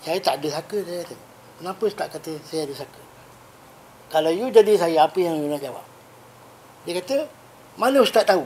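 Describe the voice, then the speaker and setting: A man talks at a very fast pace with a high pitch. His loudness swings widely, and he leaves long, frequent pauses. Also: lively intonation. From Malaysia, Negeri Sembilan. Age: 60s. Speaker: Islamic spiritual healer. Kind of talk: podcast interview.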